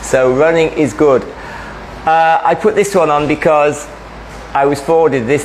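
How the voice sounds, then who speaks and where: A man talks at a moderate pace with a fairly high pitch. Noticeable background noise sits behind him. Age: 60s. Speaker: running coach giving a talk. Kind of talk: presentation talk.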